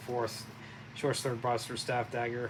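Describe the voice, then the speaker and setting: Mumbling at a fairly quick pace, a man speaks with a medium pitch. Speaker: board game playthrough host. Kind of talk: casual tabletop game commentary. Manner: halting, many fillers.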